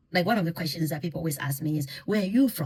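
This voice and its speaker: A woman's somewhat breathy voice. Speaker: intercultural communication consultant. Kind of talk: educational talk on listening.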